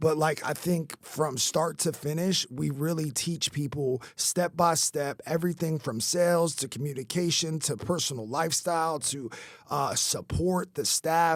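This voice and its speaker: In an American accent and an animated tone, the speaker talks at a fairly slow pace with ordinary pitch variation and hardly any pauses, on a very clean recording with a silent background. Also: man, fairly high pitch for a man. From New York. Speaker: podcast host and roofing company owner. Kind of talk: casual interview chat.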